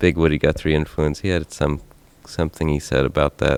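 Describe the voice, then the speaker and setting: A man's very deep, low voice in a Tennessee accent, with fairly even intonation. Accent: Tennessee twang. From Tennessee, Chattanooga. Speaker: singer-songwriter. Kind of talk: onstage interview. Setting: theater stage.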